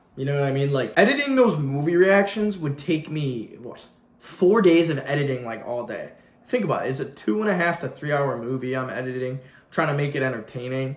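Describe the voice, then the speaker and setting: This man's voice sits fairly high, with ordinary pitch variation and a fairly quick pace. The room echo is audible, and background noise is noticeable. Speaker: YouTuber. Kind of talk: casual vlog rant. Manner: fast; animated.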